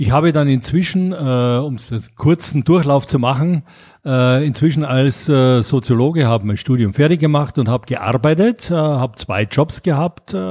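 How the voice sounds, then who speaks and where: Recorded very cleanly against a silent background, a man with a fairly high pitch talks at a moderate pace with ordinary pitch variation. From Austria, Graz. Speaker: board game publisher. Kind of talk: casual interview. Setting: Mallorca. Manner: halting, many fillers.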